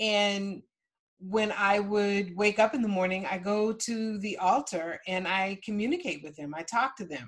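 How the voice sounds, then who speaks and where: In a normal speaking voice, a woman talks at a fairly slow pace and medium pitch, with ordinary pitch variation and big swings in loudness. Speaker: ancestral healing teacher. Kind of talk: workshop with live Q&A and guided process. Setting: video call workshop.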